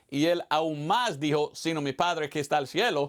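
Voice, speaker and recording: On a very clean recording with a silent background, a man's voice can be heard. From United States. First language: English (speaking Spanish). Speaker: evangelist missionary pastor. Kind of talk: sermon. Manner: halting, with repetitions.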